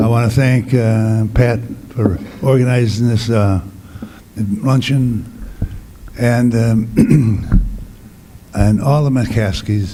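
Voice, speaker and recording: Long, frequent pauses and fairly even intonation, with audible room echo and noticeable background noise. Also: man. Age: 80s+. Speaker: priest and former basketball player. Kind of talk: award acceptance speech. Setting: luncheon event with audience. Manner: halting.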